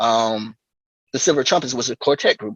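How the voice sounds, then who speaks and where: At a moderate pace and with a slight Southern US accent, the voice sounds dry and close with no echo against a quiet background. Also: man. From US South. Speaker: drummer. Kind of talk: interview. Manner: halting.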